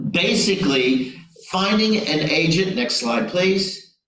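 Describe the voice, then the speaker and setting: A man speaks in an American accent with lively intonation at a moderate pace. Audible room echo and noticeable background noise come through. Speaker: business consultant. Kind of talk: webinar presentation.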